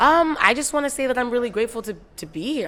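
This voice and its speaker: Words come at a very fast pace from a woman. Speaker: rapper. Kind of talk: interview. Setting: music awards gala. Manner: halting.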